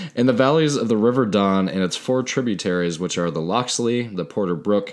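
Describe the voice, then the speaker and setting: Moderate pace from a man. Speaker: podcast co-host. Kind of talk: reading aloud; casual chat. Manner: quiet in narrator mode.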